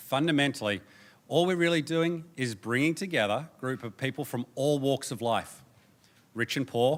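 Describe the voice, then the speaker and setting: An Australian man with a fairly high pitch speaks at a moderate pace with ordinary pitch variation and big swings in loudness, on a very clean recording with a silent background. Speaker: presenter at a democracy organisation. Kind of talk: conference presentation. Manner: animated.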